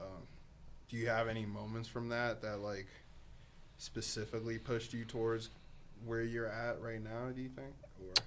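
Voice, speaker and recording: With an audible room echo, a man talks at a fairly slow pace and leaves long, frequent pauses. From Boston, US, born in Africa. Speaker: podcast co-host. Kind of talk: casual chat.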